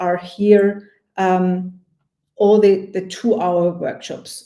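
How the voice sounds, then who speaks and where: A woman with a non-native accent speaks at a medium pitch in a dark, mellow tone. Her intonation is monotone and flat. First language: not English. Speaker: project management coach. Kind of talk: webinar product walkthrough. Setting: online webinar. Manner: not fast; hesitant, many fillers.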